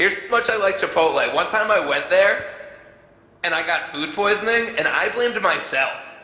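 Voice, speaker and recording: Noticeable background noise and audible room echo surround a man with a high pitch. He keeps a moderate pace and ordinary pitch variation. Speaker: stand-up comedian and show host. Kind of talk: stand-up. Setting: virtual reality comedy show with online audience.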